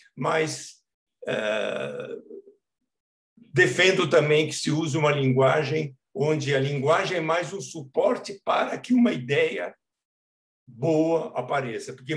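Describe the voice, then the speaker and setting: This man's voice sits fairly high in pitch, somewhat breathy, with ordinary pitch variation. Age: 70s. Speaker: children's book author. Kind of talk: talk at a literary reading event. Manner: conversational, with hesitations.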